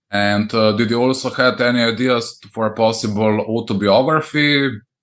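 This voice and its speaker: With a Slovene accent, a man talks at a moderate pace and a medium pitch, his intonation fairly even and his loudness very even. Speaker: podcast host. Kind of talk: interview. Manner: halting.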